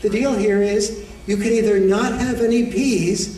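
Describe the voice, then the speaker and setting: A man speaks in a high-pitched voice. The room echo is audible, with light background noise. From United States. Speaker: educator, author and men's issues speaker. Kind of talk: lecture to an audience. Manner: soft-spoken. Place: hall. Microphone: podium.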